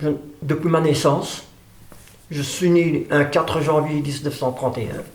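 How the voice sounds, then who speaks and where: A man with a fairly high pitch speaks at a fairly slow pace in a monotone, flat intonation. He leaves long, frequent pauses over noticeable background noise. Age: 80s+. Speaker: drummer. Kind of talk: interview testimony. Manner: halting.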